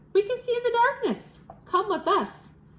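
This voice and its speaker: Putting on a character voice, a woman speaks at a moderate pace in an extremely high, squeaky pitch. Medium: read story.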